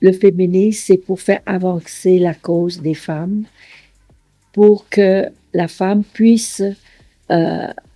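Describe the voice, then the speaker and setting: With music in the background, a woman speaks at a very slow pace in a dry, close sound with no echo. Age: 80s+. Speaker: retired engineer and business financier. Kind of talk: documentary interview testimony. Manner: halting, with frequent hesitations.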